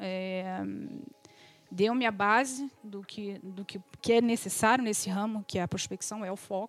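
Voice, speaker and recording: A woman with a fairly high pitch speaks at a fairly slow pace with fairly even intonation in an unremarkable speaking voice, the sound dry and close with no echo. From Brazil, Rio de Janeiro. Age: 40s. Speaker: real estate agent. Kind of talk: interview.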